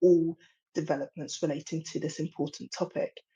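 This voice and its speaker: A woman speaks at a fairly quick pace with an English accent. Her voice is somewhat breathy, with ordinary pitch variation. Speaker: industry policy presenter. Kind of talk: webinar presentation.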